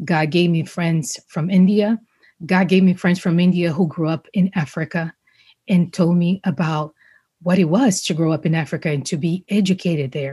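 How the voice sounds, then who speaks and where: Against a quiet background, a woman with a Brazilian accent talks at a moderate pace in a fairly low, dark, mellow and somewhat breathy voice with fairly even intonation. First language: Portuguese. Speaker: journalist and public speaker. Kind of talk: casual interview chat.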